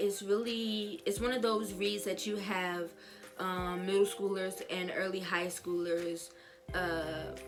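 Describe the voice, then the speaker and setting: With music in the background, a woman speaks in a fairly low voice with fairly even intonation. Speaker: book reviewer. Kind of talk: casual talk to camera.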